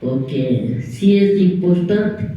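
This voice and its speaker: A woman speaks with lively intonation at a fairly low pitch. The room echo is audible, and there is noticeable background noise. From Ecuador, Imbabura highlands (Antonio Ante). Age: 70s. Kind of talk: testimony.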